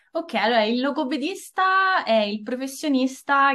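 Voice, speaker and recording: Against a quiet background, the speech moves at a fairly slow pace with a bright, sharp tone. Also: woman. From Italy. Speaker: speech therapist. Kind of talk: interview. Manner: halting.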